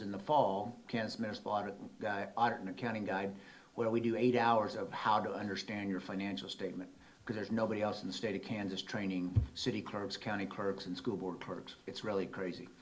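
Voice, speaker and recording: A man's fairly low voice at a fairly quick pace, with fairly even intonation and audible room echo. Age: 60s. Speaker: auditor. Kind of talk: presentation at a council meeting.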